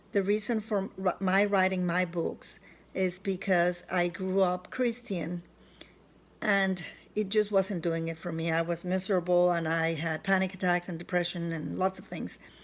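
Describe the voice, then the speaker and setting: Delivered at a fairly slow pace with fairly even intonation, the speech carries a non-native accent. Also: woman. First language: not English. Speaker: self-help author. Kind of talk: personal vlog testimony. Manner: halting, with fillers.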